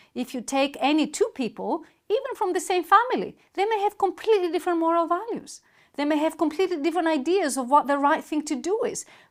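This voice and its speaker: A woman with a Greek accent speaks at a very fast pace in an extremely high voice with lively intonation. The recording is very clean, with a silent background. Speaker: university lecturer. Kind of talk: lecture.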